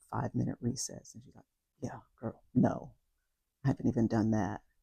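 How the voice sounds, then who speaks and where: Dark and mellow, a woman's voice carries vocal fry. The sound is dry and close with no echo. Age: 60s. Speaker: wellness coach. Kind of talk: personal testimony. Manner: hesitant, many fillers.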